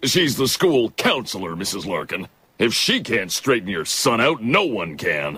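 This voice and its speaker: In a cartoonish character voice, a man uses a stern tone at a medium pitch and a moderate pace. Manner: stern, gruff.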